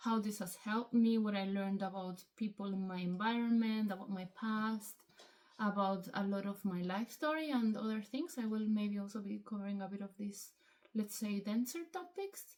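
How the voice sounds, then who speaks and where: A woman with a Spanish accent speaks at a moderate pace, with a medium pitch and ordinary pitch variation. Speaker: hobby vlogger. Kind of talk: casual vlog monologue. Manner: hesitant, many fillers.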